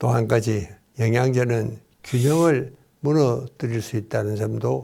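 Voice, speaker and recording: A man's medium-pitched, somewhat breathy voice at a fairly slow pace, with ordinary pitch variation. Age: 90s. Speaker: psychiatrist and doctor. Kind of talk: interview talk. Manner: formal.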